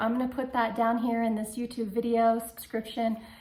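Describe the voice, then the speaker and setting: This woman's voice is fairly high in pitch. Audible room echo surrounds it. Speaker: vlogger sharing cancer journey. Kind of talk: personal video diary.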